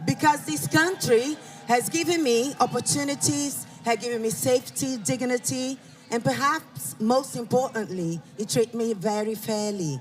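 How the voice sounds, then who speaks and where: Backed by music, the speaker talks at a moderate pace. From Brazil. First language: Portuguese. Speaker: rally speaker. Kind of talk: public speech.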